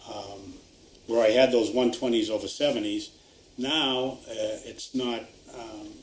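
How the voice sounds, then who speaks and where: A man speaks at medium pitch and a fairly slow pace with long, frequent pauses, over noticeable background noise and audible room echo. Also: fairly even intonation, big swings in loudness. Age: 60s. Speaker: retired resident affected by wind turbines. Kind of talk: interview. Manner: halting, many fillers.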